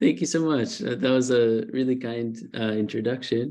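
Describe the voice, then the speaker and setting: A man with an Israeli accent speaks at a moderate pace. His tone is dark and mellow. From Israel, partly New Jersey. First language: Hebrew. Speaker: author. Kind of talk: informal author talk. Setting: online video event. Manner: halting, many fillers.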